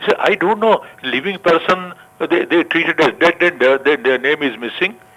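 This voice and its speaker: High pitch for a man, lively intonation, a moderate pace and noticeable background noise. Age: 80s+. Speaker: caller. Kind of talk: phone-in complaint. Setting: phone call. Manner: halting.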